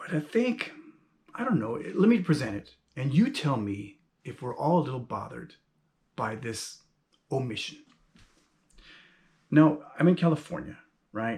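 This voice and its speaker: Somewhat breathy, a man talks at a moderate pace with lively intonation. He leaves long, frequent pauses. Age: 50s. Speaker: YouTuber and self-published author. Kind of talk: casual monologue vlog. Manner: conversational with many fillers.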